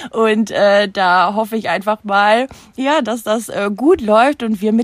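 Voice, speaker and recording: In a very clean recording with a silent background and a dry, close sound with no echo, a woman uses a normal speaking voice, fairly high in pitch with ordinary pitch variation. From Germany, Münster area (NRW). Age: 30s. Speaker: social media influencer and mother. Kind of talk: casual chat.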